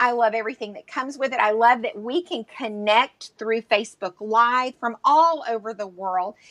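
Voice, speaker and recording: A woman with a Southern US accent speaks at a fairly high pitch, with big swings in loudness and hardly any pauses. The sound is dry and close, with no echo. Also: ordinary pitch variation. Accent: Southern US drawl. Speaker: entrepreneur. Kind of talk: live interview. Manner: animated.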